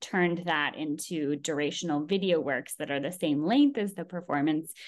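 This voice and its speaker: A woman in a Californian accent, fairly low pitch, ordinary pitch variation, quiet background. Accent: Californian American. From California, Bay Area. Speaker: environmental artist. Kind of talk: interview.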